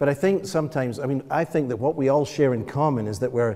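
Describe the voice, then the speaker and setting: A man speaks with a Scottish accent in a dark, mellow tone. His pace is fairly quick. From Scotland. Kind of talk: panel discussion. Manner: halting.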